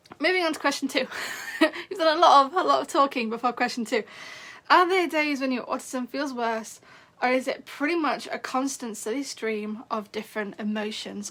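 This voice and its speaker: A woman's raspy, high, put-on character voice at a moderate pace. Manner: talking really fast.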